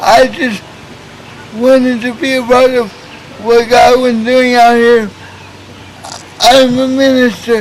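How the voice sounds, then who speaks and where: A man with an American accent speaks very slowly at an extremely high pitch, his intonation monotone and flat, with long, frequent pauses and noticeable background noise. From Oklahoma, Tulsa. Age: 20s. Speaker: youth minister. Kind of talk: interview testimony. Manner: halting, stuttering.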